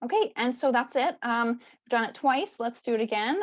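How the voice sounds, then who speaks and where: A woman has an unremarkable speaking voice with a fairly high pitch. She keeps a moderate pace. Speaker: bird atlas coordinator. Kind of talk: presentation Q&A over video call. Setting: video call.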